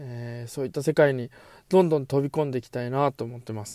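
A man speaks in a medium pitch with a dark, mellow tone. The recording is very clean, with a silent background. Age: 30s. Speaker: office worker and amateur hip-hop artist hosting a solo audio show. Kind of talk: solo monologue talk. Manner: halting, many filler words.

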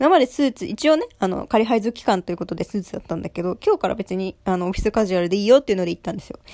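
A woman talks at a very fast pace with hardly any pauses, her dark, mellow tone showing lively intonation. Her loudness swings widely, and the sound is dry and close with no echo. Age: 20s. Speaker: solo podcaster, new office worker. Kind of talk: casual monologue. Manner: animated, high-energy; frequent laughter.

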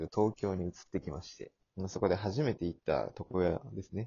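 A man speaks in a somewhat breathy voice at a fairly low pitch. His pace is fairly quick. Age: 20s. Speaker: podcast host. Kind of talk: casual chat.

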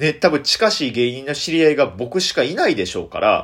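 A man talks with a Kansai accent at a fairly quick pace. His pitch variation is ordinary. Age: 20s. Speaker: comedian. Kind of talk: solo radio talk.

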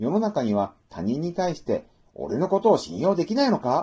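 Vocal fry runs through this man's voice. He keeps a moderate pace while his pitch swings very widely. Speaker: book review podcaster. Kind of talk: solo book talk monologue. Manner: formal.

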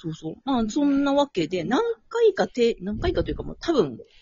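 A woman's fairly high-pitched voice with vocal fry and very wide pitch swings. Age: 30s. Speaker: dance circle member. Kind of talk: casual chat.

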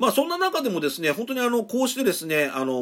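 Very fast speech from a man, with noticeable noise behind it. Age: 50s. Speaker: podcaster. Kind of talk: solo talk. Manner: frequent filler words; polite formal.

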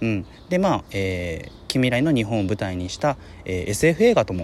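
Pitch swinging very widely, a man speaks at a moderate pace. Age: 30s. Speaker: podcaster, film commentator. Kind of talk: solo casual talk. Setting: outdoors in a park.

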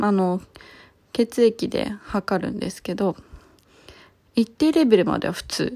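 A woman's dark, mellow voice, fairly slow and full of long, frequent pauses, with lively intonation and big swings in loudness. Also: medium pitch for a woman. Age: 30s. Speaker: podcaster. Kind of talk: casual monologue.

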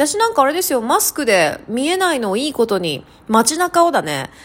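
Noticeable background noise accompanies a woman speaking in an animated tone at a moderate pace. Her high pitch swings very widely. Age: 30s. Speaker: solo podcast host. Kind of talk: casual solo talk.

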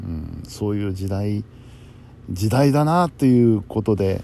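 A man speaks with a fairly low pitch and a dark, mellow tone. His intonation is lively. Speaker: podcaster and radio helper. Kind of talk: casual late-night monologue.

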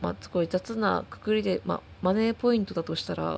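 A woman at a fairly quick pace. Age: 20s. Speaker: solo podcaster. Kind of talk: casual monologue. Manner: halting, many fillers.

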